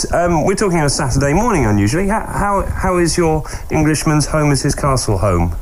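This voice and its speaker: Over noticeable background noise, a man talks fairly quickly at a fairly high pitch, his intonation lively and his loudness very even. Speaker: motorsport radio host. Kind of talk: casual interview.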